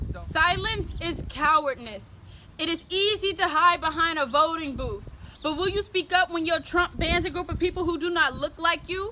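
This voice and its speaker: A woman's raised, projected voice at an extremely high pitch, with ordinary pitch variation. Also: moderate pace. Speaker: spoken word poet. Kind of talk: spoken word poetry performance, often in call-and-response with a partner.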